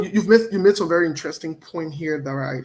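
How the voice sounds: Talking at a fast pace, a man with a fairly high pitch and a slightly husky edge shows ordinary pitch variation.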